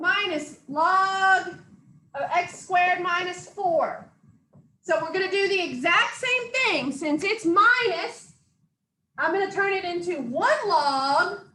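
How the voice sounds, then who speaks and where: A woman's raised, projected voice at an extremely high pitch, bright and sharp in tone, with lively intonation, a very slow pace and audible room echo. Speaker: math instructor. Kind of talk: lecture.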